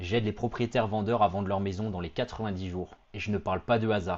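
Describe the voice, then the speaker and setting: A man with an unremarkable speaking voice, fairly low pitch and fairly even intonation. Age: 30s. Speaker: real estate agent. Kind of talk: sales pitch. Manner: confident, punchy.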